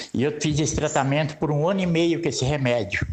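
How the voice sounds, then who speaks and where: Over noticeable background noise, a man with fairly high pitch speaks at a moderate pace with ordinary pitch variation. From São Paulo state, Brazil. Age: 70s. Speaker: radio listener. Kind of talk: testimony.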